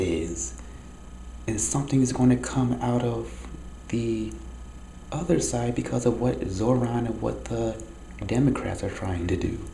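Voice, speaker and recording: The speaker goes at a fairly slow pace, leaving long, frequent pauses. Noticeable background noise and audible room echo are present. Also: man. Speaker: video diarist. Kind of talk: personal monologue. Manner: speaking low.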